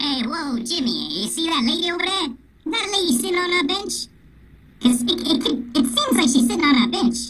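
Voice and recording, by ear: Putting on a character voice, a man speaks at a fairly quick pace with an extremely high pitch.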